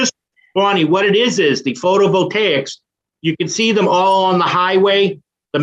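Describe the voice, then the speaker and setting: A man with a high pitch talks at a moderate pace, his loudness very even and his pitch variation ordinary, with long, frequent pauses. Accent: strong Boston. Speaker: meeting participant explaining solar energy projects. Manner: explains with frequent fillers and restarts.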